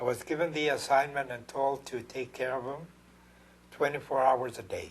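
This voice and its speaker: A man with an American accent talks at a moderate pace in a fairly high, somewhat breathy voice. His intonation stays fairly even. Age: 80s+. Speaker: war veteran and painter. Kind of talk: interview testimony. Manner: halting.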